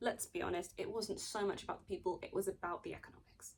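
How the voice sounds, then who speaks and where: The speaker is a woman. She has a British accent. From Britain. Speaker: video essayist. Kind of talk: video essay, partly read from notes. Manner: casual, with fillers and self-corrections.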